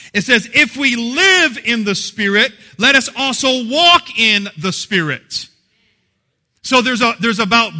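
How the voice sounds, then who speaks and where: Raised and projected, a man's voice sounds animated, with lively intonation and an extremely high pitch. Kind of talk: sermon, preacher in full flow with live congregation. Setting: church with live congregation. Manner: animated, call-and-response, punchy and joking; warm, jokey, laughs while preaching.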